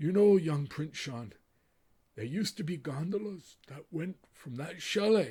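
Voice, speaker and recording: A man's raspy, put-on character voice, fairly high in pitch, at a moderate pace. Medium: read story. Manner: slow, gentle, formal.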